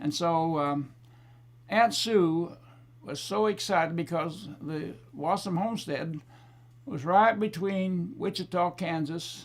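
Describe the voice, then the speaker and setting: A high-pitched man with an Oklahoma accent, at a very slow pace with long, frequent pauses. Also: ordinary pitch variation. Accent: Southern Plains US (Oklahoma). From Oklahoma, US. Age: 90s. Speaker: war veteran. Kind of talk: testimony. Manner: halting.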